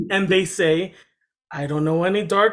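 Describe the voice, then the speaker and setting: Fairly fast talk from a man, its pitch varying in an ordinary way. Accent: American. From Massachusetts, Dominican family. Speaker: panel guest. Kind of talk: casual discussion.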